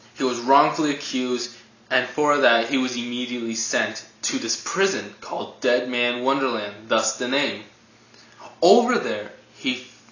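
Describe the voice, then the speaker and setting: Noticeable background noise runs under the voice. The pace is fairly slow and the intonation fairly even. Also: man. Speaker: anime reviewer. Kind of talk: casual review talk to camera.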